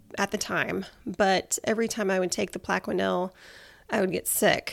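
A woman speaks at a medium pitch with vocal fry. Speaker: health podcast host and personal trainer. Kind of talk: personal health story monologue.

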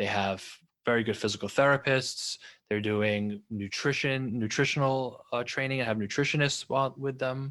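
Over a quiet background, an unremarkable speaking voice with an American accent moves at a moderate pace with fairly even intonation. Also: man, medium pitch for a man. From New York. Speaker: orthopedic surgeon. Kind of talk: interview.

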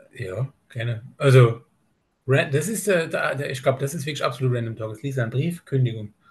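A man's somewhat breathy voice at medium pitch, moderate pace and ordinary pitch variation. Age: 30s. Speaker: bodybuilder. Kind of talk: casual chat. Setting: video call. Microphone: laptop on LAN cable.

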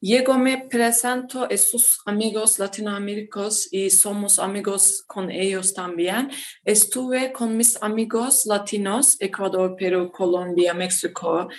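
The speaker has a Turkish accent and a very slow pace. Intonation stays fairly even, with hardly any pauses. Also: woman, medium pitch for a woman. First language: Turkish (speaking Spanish). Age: 20s. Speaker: mining engineer. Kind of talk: interview, partly reading a script. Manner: halting, many hesitations.

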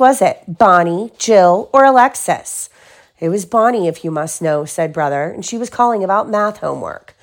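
Her tone is animated and warm, and this woman's pitch swings very widely in a very clean recording with a silent background. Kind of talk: children's picture book read-aloud, with pauses to chat with a child. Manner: animated, warm storyteller voice, changing tone for each character.

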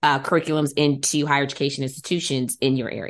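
A woman speaks with an American accent in a very deep, low pitch. The background is quiet. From Detroit, Michigan. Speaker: podcast host and genealogist. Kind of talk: casual interview.

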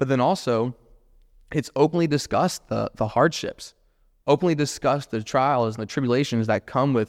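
A man talks at a fairly quick pace with an American accent. The recording is very clean and dry, close with no echo, over a silent background. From US South, Jacksonville, Florida. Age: 20s. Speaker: real estate investor and agent. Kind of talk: solo podcast monologue.

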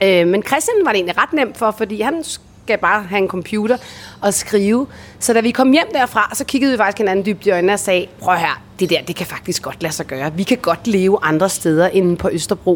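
Through noticeable background noise, a woman with a medium-pitched voice talks at a moderate pace with lively intonation. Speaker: voice-over artist and former radio host. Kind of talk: interview. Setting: recorded on location in Bali.

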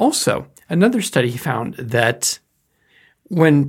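A man's somewhat breathy voice comes through on a very clean recording with a silent background. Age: 50s. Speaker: educator on life purpose. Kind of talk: lecture.

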